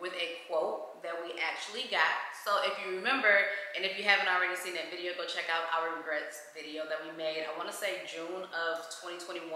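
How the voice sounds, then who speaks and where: In a room with audible echo, a woman with a fairly low pitch speaks at a fairly quick pace with fairly even intonation. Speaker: home vlogger. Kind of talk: casual vlog chat. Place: home room. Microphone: camera far.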